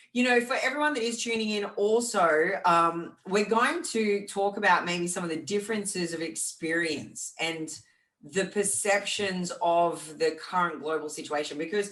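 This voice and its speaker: Here a woman speaks at a medium pitch and a moderate pace. Her intonation is lively. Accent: Australian. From Australia. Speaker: fitness podcast co-host and fitness champion. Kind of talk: casual chat.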